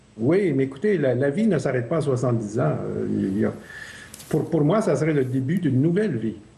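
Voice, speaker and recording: With lively intonation and a fairly quick pace, a man talks through noticeable background noise and audible room echo. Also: medium pitch for a man. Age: 60s. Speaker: Mars mission candidate. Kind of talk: TV interview. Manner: hesitant.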